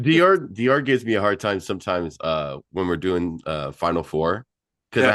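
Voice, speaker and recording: His pitch is very deep and low, and his intonation is lively. The man keeps a moderate pace over a quiet background. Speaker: podcast host.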